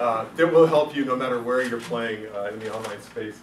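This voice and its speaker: A man talking at a fairly quick pace amid noticeable background noise and audible room echo. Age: 50s. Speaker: juggler and entertainer giving a business talk. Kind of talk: meetup presentation talk. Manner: casual, joking, with frequent fillers.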